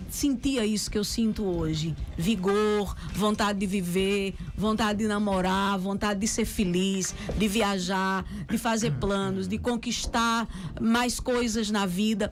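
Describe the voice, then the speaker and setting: A woman at medium pitch, fairly slow and at very even loudness, with music in the background and audible room echo. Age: 50s. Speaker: radio host. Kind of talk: casual chat. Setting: radio studio.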